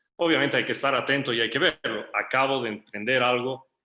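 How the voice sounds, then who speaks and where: Bright and sharp in tone, a man speaks at a medium pitch. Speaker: entrepreneur. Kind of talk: workshop talk.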